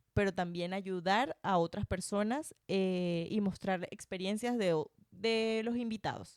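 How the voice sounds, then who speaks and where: Dry and close with no echo, the recording captures a woman in a normal speaking voice, medium in pitch, at a fairly slow pace with ordinary pitch variation. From Venezuela, Barinas (llanos). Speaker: podcaster and former radio host. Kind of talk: casual interview chat. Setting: home recording.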